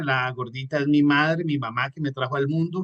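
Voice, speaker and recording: A man with a fairly high pitch and a Colombian coastal accent. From Colombia, Caribbean coast (Santa Marta) and Manizales. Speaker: entrepreneur and motivational trainer. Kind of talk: online training talk. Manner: fast; animated.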